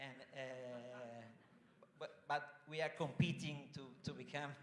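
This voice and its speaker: A man with an Italian accent. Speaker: foundation general manager. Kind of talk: welcome speech. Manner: halting.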